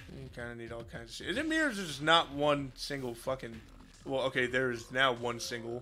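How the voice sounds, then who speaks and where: Over music in the background, a man at a medium pitch talks at a fairly quick pace, his loudness swinging widely. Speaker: video game streamer. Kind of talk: casual live stream chat. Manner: animated.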